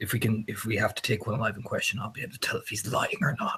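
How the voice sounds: A man's put-on character voice, growling at a very fast pace with medium pitch, over clear background noise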